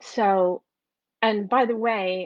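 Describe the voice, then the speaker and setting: A woman's medium-pitched voice with an American accent and fairly even intonation. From New York / New Jersey, US. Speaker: entrepreneur and course creator. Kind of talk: live video talk to an online group. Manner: halting, many fillers and repetitions.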